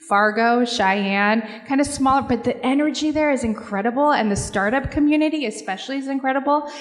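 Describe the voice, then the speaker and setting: A woman with an American accent talks at a fairly quick pace with hardly any pauses, her high pitch showing ordinary variation. Noticeable background noise sits behind her. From Seattle. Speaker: corporate philanthropy executive. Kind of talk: panel discussion.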